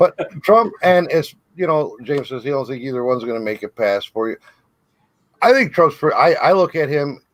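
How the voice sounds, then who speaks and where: Lively intonation from a man with a fairly high pitch, at a moderate pace. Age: 40s. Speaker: political debater. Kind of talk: heated debate. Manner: animated.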